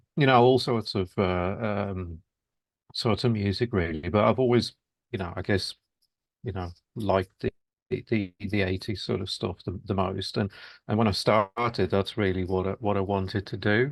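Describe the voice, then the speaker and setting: Against a quiet background with a dry, close sound and no echo, a man with a Birmingham accent speaks at a moderate pace, fairly low in pitch and fairly even in intonation, with long, frequent pauses. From Birmingham, England. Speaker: musician. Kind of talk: interview. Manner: halting, many fillers.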